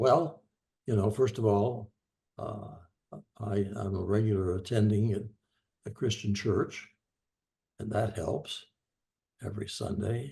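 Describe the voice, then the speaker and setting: A man speaks with a dark, mellow tone at a fairly low pitch, somewhat breathy. His intonation stays fairly even, broken by long, frequent pauses. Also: fairly slow pace. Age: 90s. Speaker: discussion participant. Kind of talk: group discussion. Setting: video call.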